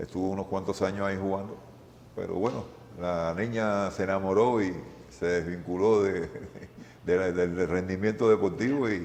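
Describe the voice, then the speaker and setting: Audible room echo surrounds a man with a very deep, low voice who talks at a moderate pace with fairly even intonation and long, frequent pauses. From Cuba, Havana. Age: 60s. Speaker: retired volleyball player. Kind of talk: interview. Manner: halting, repetitive.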